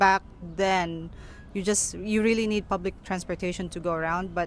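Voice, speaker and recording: Using a Filipino accent, a woman of medium pitch speaks at a moderate pace with fairly even intonation. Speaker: immigrant interviewee. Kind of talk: street interview.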